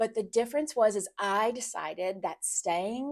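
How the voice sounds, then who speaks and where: A woman's plain, everyday voice at a medium pitch, with an American accent, a fairly slow pace and ordinary pitch variation. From United States. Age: 40s. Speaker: relocation business founder. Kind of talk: personal testimony vlog.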